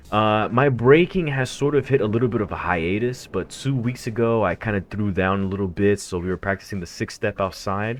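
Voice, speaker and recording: In an American accent, a man with a normal speaking voice and a fairly low pitch talks at a fairly quick pace with hardly any pauses and ordinary pitch variation. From United States. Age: 30s. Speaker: gaming streamer and breakdancer. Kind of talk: live stream chat. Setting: live stream. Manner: casual, filler-heavy.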